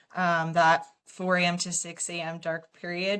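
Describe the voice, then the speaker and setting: Speaking at a moderate pace, a woman uses a normal speaking voice pitched fairly low. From Canada (London, Ontario). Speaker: guest in recovery from alcohol. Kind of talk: interview, casual chat.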